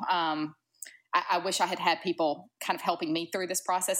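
A woman with a strong Southern US accent talks at a fairly quick pace in a fairly low voice, on a very clean recording with a silent background. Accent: thick Southern. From US South, Georgia. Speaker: podcast guest sharing fertility story. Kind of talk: interview, personal story.

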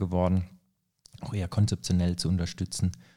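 On a very clean recording with a silent background, a man speaks fairly quickly in a dark, mellow tone. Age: 30s. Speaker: energy consultant. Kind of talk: casual chat. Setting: studio.

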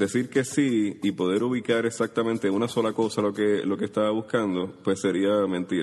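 A normal speaking voice moves at a moderate pace with hardly any pauses. Its loudness stays very even and its intonation fairly even. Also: man, fairly low pitch for a man. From Puerto Rico, Caimito (San Juan). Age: 30s. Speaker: writer. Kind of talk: interview.

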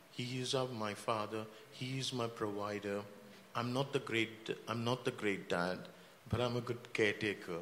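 A medium-pitched man, fairly slow and fairly even in intonation, with long, frequent pauses and noticeable background noise. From India. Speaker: church member and healthcare director. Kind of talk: panel discussion. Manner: halting, with many fillers.

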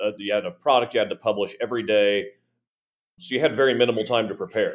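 A man talks at a very fast pace with a medium pitch. His intonation is lively. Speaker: podcast co-host. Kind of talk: casual chat. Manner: long-winded.

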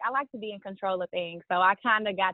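Her voice is a plain, everyday voice at a medium pitch for a woman. She talks at a moderate pace with fairly even intonation. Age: 20s. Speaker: marketing strategist and e-commerce coach. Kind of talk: casual interview chat.

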